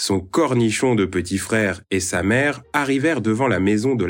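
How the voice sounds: The pitch varies in an ordinary way as someone reads in a natural reading voice.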